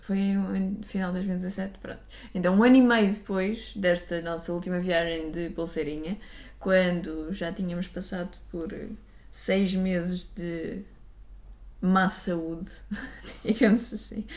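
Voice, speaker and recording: In a European Portuguese accent, the speaker talks very slowly and somewhat breathily with fairly even intonation, long, frequent pauses and audible room echo. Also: woman, medium pitch for a woman. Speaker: podcast co-host. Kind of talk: casual chat.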